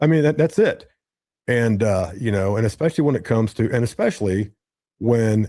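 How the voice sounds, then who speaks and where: Medium-pitched man with an American accent, a dark, mellow tone, and lively intonation, on a very clean recording with a silent background. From Ohio, Cincinnati area. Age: 60s. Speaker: content creator and streamer. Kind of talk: casual chat. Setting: live podcast. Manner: animated.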